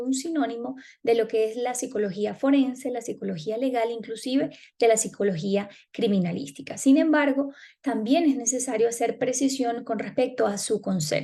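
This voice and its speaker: At a moderate pace, a woman with a dark, mellow tone speaks at a high pitch with ordinary pitch variation. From Venezuela. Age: 30s. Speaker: psychology student. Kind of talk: class presentation. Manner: formal.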